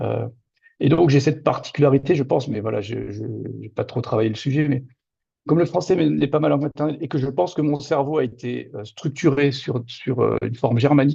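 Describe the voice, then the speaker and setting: This man has a fairly high voice with vocal fry and a dark, mellow tone. He talks at a fairly quick pace with ordinary pitch variation. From Moselle-Est, Lorraine, France. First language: Lorraine Franconian (Platt) (speaking French). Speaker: novelist. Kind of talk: interview. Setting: video call.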